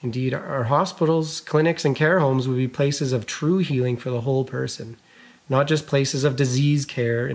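Somewhat breathy, a man with a Canadian accent talks with ordinary pitch variation. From Alberta. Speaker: physician and keynote speaker. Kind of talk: commencement speech. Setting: recorded video.

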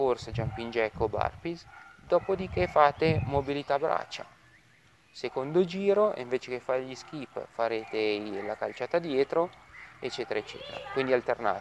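A man's lively intonation at a moderate pace, broken by long, frequent pauses, over light background noise. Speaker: fitness instructor. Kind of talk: tutorial. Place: garden.

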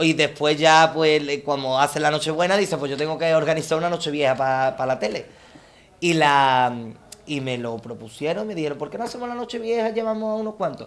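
A man talks at a fairly quick pace in a fairly high pitch. His tone is animated and his intonation lively. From Andalusia, Palma del Río (Córdoba); Andalusia, Spain. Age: 20s. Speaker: copla singer; TV interviewee. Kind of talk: self-presentation monologue; interview answer. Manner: halting, many repetitions. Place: garden.

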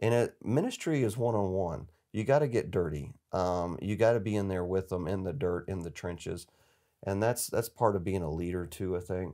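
With an Appalachian accent, a man speaks in a very deep, low voice with a dark, mellow tone. His pace is moderate, and the background is quiet. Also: ordinary pitch variation. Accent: Southern US (Appalachian North Carolina). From US South, western North Carolina mountains. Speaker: charity executive, former army officer; guest. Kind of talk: casual interview. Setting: studio. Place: studio.

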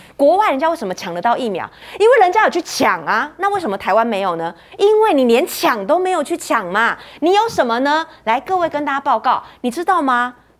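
A high-pitched woman talks in an animated tone at a fairly quick pace. Her pitch makes very wide swings. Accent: Taiwanese. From Taiwan. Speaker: TV news talk show host. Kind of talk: political talk show. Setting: studio. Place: studio. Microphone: handheld.

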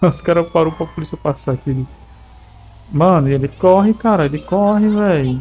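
A man's fairly high voice at a moderate pace, with long, frequent pauses and music in the background. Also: ordinary pitch variation. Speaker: gaming YouTuber. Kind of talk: gameplay commentary. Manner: animated.

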